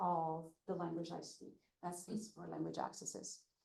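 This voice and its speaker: A woman speaks at a medium speed while room echo is audible. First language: not English. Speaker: language access advocate. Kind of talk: presentation. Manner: halting with many fillers.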